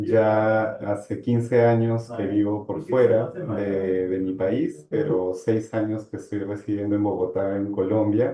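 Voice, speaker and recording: This man has a fairly low pitch and ordinary pitch variation. He talks at a very slow pace with hardly any pauses. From Peru, Arequipa. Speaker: human rights lawyer. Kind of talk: interview.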